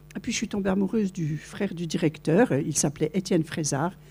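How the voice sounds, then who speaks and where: Somewhat breathy and dark, mellow in tone, a woman's fairly low voice moves at a fairly slow pace with ordinary pitch variation. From France, Vosges. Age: 70s. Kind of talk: testimony. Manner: animated storytelling.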